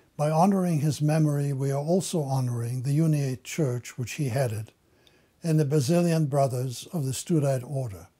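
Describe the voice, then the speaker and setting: In a quiet background, a man with a fairly high pitch and a dark, mellow tone speaks at a moderate pace. His voice is somewhat breathy, with ordinary pitch variation. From western Ukraine. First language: German. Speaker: Holocaust survivor; interviewee. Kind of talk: testimony. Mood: solemn, formal. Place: office.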